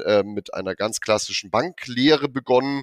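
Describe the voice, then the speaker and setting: At a moderate pace, a man talks in a normal speaking voice with ordinary pitch variation, on a very clean recording with a silent background, dry and close with no echo. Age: 30s. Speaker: wealth manager. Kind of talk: corporate podcast interview.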